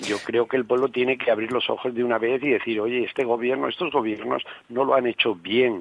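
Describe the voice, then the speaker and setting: A man talks at a medium pitch and a fairly quick pace. He has a plain, everyday voice. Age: 60s. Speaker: regional parliament member. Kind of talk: radio interview.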